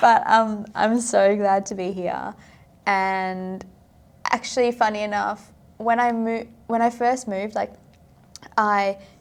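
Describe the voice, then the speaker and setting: On a very clean recording with a silent background, a woman speaks very slowly in a fairly high, monotone, flat voice, with long, frequent pauses. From South Africa. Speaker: podcast guest, finance consultant. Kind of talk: casual interview chat. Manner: hesitant, many fillers.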